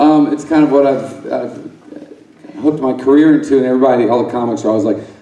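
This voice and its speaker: Both audible room echo and noticeable background noise are present while this man talks. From Alabama. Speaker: stand-up comedian. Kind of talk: stand-up. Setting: stage with audience. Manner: articulate; halting.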